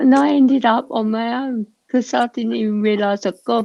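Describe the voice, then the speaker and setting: At a moderate pace, a woman with a British accent talks in a fairly high voice. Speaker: livestream panelist. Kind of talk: casual chat. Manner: soft-spoken.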